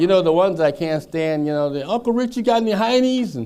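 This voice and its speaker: Over noticeable background noise, a speaker with an American accent talks at a very fast pace with very wide pitch swings. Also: man. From US Midwest (Madison, Wisconsin). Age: 80s+. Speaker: author. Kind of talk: public talk. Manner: halting.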